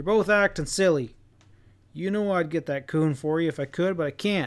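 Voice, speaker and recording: Putting on a gruff character voice, a man speaks at a high pitch and a moderate pace. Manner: firm, scolding.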